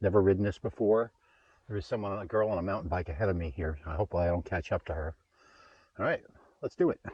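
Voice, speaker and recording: A man talks very fast in a very deep, low voice that is somewhat breathy, with ordinary pitch variation. He leaves long, frequent pauses. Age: 60s. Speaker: vlogger, e-bike rider. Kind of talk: casual vlog commentary while riding. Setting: outdoors on a bike trail. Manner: casual, halting with fillers.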